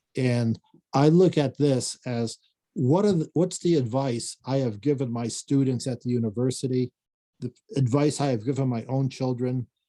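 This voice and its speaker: A man at a moderate pace, with a medium pitch and ordinary pitch variation. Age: 60s. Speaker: professor and finance author. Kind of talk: video call Q&A talk. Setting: video call. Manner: halting, many fillers.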